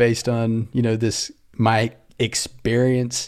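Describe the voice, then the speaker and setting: An Australian accent marks this man's speech. His dark, mellow tone stays in a flat monotone. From rural Australia. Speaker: startup founder. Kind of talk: casual interview.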